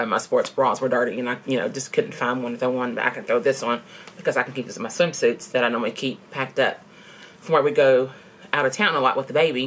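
A woman with a very deep, low pitch talks at a fairly quick pace with lively intonation. Light background noise sits behind her. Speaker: vlogger. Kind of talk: casual vlog chat. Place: home room. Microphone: webcam.

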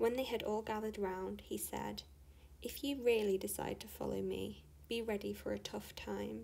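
The voice heard here is a natural reading voice.

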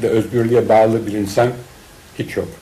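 A man speaks against noticeable background noise. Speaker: painter and cartoonist. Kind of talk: interview answer, personal reminiscence. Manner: hesitant, many filler sounds.

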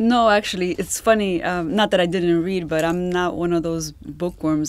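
At a moderate pace, a woman talks in a dry recording with no echo. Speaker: podcast guest. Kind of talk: interview answer. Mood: warm, light laughter. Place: booth. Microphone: studio mic.

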